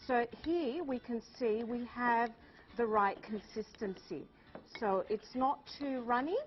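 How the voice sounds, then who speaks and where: A woman with an Australian accent speaks at a very slow pace. Her voice is high, with ordinary pitch variation. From Greek island, born in Sydney. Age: 40s. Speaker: cookbook author and chef. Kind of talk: TV cooking demonstration. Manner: animated.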